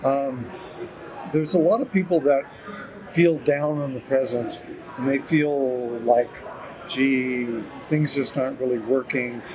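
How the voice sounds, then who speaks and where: Against noticeable background noise, a man with a fairly high voice and ordinary pitch variation speaks with long, frequent pauses. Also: fairly slow pace. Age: 70s. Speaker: retired horticultural scientist. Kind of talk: interview. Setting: conference. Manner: halting.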